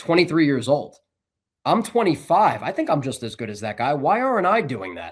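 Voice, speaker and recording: A man with an American accent talks at a fairly quick pace with a fairly high pitch and vocal fry, his pitch swinging very widely and his loudness in big swings, on a very clean recording with a silent background. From New Jersey, Bergen County. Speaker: sports broadcaster. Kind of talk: interview.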